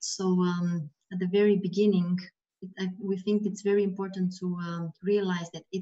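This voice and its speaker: The voice is dark, mellow and somewhat breathy, with monotone, flat intonation. The pace is moderate. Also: woman, quiet background. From Romania. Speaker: HR consultant; webinar presenter. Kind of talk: webinar presentation. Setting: video call. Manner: soft-spoken. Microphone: video call.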